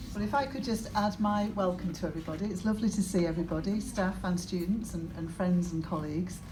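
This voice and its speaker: A woman speaks fairly quickly with a fairly low pitch and ordinary pitch variation. Room echo is audible. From northern England, Cumbria. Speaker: senior university staff member, engineer. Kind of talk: welcome speech at event launch. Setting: live event with audience. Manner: halting, with repetitions.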